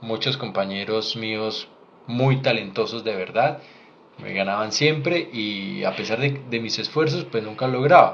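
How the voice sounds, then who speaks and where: A man with an ordinary speaking voice, medium in pitch, at a fairly slow pace with ordinary pitch variation. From Colombia. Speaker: doctor. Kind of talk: live Q&A stream. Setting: livestream.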